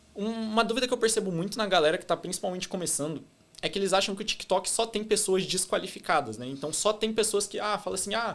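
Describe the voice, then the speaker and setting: A man's high-pitched voice, with ordinary pitch variation, moves along at a fairly quick pace. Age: 20s. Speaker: e-commerce entrepreneur. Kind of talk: podcast interview. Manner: fast; loud.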